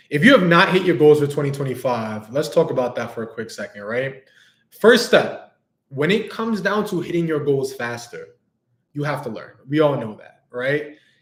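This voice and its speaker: A man with a New York accent talks in a fairly high, somewhat breathy voice. His pitch swings very widely, and the room echo is audible. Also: moderate pace, big swings in loudness. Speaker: business coach. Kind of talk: livestream talk. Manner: casual, animated.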